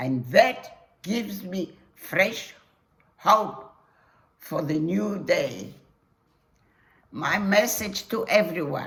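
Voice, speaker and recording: A woman's medium-pitched voice at a very slow pace, with audible room echo. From Poland, Warsaw. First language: Polish. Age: 80s+. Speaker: Holocaust survivor. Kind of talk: testimony.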